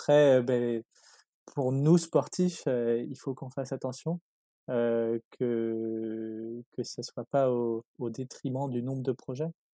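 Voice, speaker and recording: A man speaks at a very slow pace in a medium pitch, his tone dark and mellow. His intonation stays fairly even, and the sound is dry and close with no echo. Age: 20s. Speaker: sailor, catamaran racer. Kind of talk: interview. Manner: halting, many fillers.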